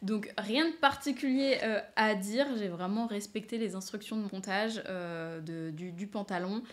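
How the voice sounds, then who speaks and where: Speaking at a fairly slow pace with hardly any pauses, a woman of medium pitch uses lively intonation. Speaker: knitting and sewing podcaster. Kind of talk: casual chat. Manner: hesitant, many fillers.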